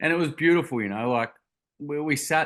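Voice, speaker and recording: A man speaks with a Queensland accent in a bright, sharp tone against a quiet background. His pitch varies in an ordinary way at a moderate pace. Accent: Australian (Queensland). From Queensland, Australia (Gold Coast). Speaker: charity founder, youth mental health advocate. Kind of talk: podcast interview, personal story. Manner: hesitant, many fillers and repeated words.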